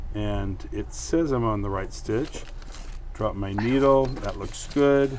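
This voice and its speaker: Heard through audible room echo and noticeable background noise, a man talks at a very slow pace. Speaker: sewing instructor. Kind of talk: tutorial. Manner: casual, joking. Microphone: new mic being tested, audio issues.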